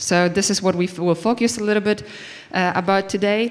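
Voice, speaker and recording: Fairly even intonation from a woman at a medium pitch. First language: not English. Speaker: conference speaker. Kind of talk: conference talk. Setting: stage with audience. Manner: halting.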